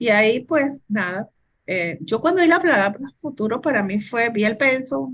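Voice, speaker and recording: A somewhat breathy woman speaks with a fairly high pitch and lively intonation. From Venezuela. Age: 60s. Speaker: businesswoman and engineer. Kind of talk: interview.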